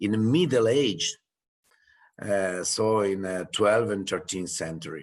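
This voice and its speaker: Over a quiet background, a man with an Italian accent speaks at a fairly slow pace, his fairly low pitch showing ordinary variation. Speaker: winery representative. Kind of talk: winery presentation. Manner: halting.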